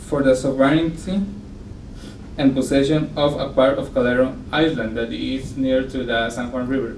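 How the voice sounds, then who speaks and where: A man with a Spanish accent at a moderate pace, ordinary pitch variation, audible room echo and noticeable background noise. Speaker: academic researcher. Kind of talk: conference presentation read aloud. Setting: conference panel. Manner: halting.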